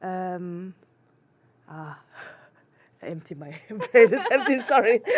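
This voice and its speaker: At a very slow pace, a woman speaks with a medium pitch. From Germany. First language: German. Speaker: international adoptee searching for birth family. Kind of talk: interview. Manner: halting, many fillers and restarts.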